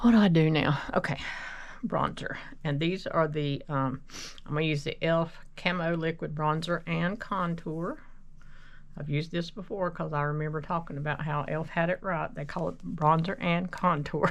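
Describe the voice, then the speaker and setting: Speaking in a plain, everyday voice, the talker keeps a moderate pace and fairly even intonation. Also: woman, fairly low pitch for a woman. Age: 60s. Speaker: makeup vlogger. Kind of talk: casual get-ready-with-me tutorial. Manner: rambling, conversational.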